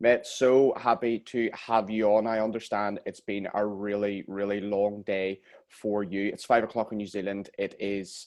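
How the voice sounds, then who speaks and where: A man's fairly low voice in a Northern Irish accent, with monotone, flat intonation at a moderate pace. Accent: Northern Irish (Belfast). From Northern Ireland, Belfast. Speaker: podcast host. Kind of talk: casual interview chat.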